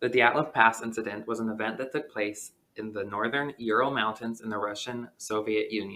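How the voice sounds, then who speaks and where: A man with an American accent, medium in pitch, bright and sharp in tone, fairly quick in pace and fairly even in intonation. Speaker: podcast co-host. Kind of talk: scripted narration; casual chat. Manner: reading from notes.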